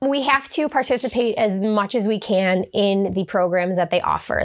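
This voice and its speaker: A woman with a Buffalo accent talks with lively intonation over noticeable background noise. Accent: Western New York (Buffalo) American. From Western New York (Hamburg, near Buffalo). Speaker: fitness coach and business owner. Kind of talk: interview.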